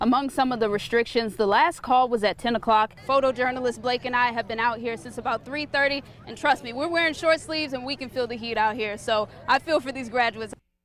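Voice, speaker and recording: A woman's high voice at a very fast pace with hardly any pauses, ordinary pitch variation, and noticeable background noise. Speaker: TV news reporter. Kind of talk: TV news reporter stand-up and package narration.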